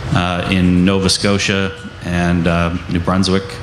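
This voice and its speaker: A man speaks with a very deep, low pitch. Light background noise and audible room echo are present. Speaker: anti-pipeline activist. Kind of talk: panel discussion. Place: tent.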